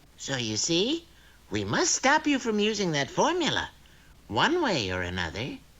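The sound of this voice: In a cartoonish character voice, a man speaks at a moderate pace.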